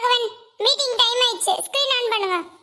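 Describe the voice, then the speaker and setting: In a cartoonish character voice, a woman squeaks at an extremely high pitch and a moderate pace. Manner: commanding.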